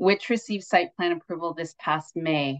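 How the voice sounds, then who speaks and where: A woman's fairly low voice over a quiet background. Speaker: city ward planning assistant hosting meeting. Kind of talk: meeting presentation. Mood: friendly, formal. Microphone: video call.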